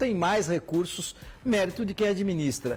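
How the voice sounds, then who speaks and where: A man is speaking. His pace is moderate. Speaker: TV sports host. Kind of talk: TV interview.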